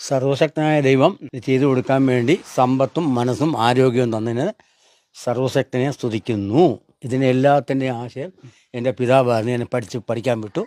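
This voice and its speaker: Heard up close and dry with no echo in a very clean recording over a silent background, a man speaks with a dark, mellow tone. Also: medium pitch for a man, ordinary pitch variation. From Kerala, Kollam district. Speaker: retired health department employee, charity donor. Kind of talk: interview.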